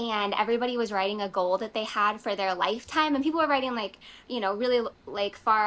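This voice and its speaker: A woman speaks very fast in a fairly high pitch, her tone bright and sharp, with ordinary pitch variation. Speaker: fantasy author. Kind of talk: interview. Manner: hesitant, many fillers.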